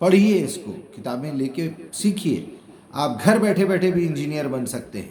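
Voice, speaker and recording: A man speaks with a fairly high pitch and a lively intonation. Noticeable background noise is audible behind him. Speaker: Quran translator and explainer. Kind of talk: religious lecture.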